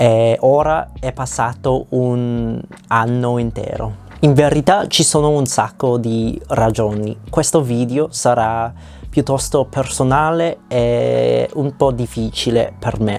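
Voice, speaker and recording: Speech comes out very slowly, with a non-native accent. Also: man. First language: not Italian (speaking Italian). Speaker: language learner vlogger. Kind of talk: reading a personal script aloud. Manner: halting.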